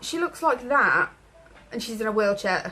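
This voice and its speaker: A woman with an English accent and lively intonation, over noticeable background noise. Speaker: vlogger with chronic illness. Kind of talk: personal vlog. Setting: at home in her room. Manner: halting.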